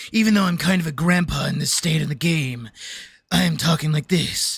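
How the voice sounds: A put-on character voice, gravelly, raspy and breathy, at a middle pitch and a fairly quick pace.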